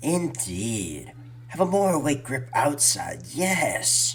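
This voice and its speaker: A man's put-on character voice at medium pitch, very slow, with clear background noise. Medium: audio drama.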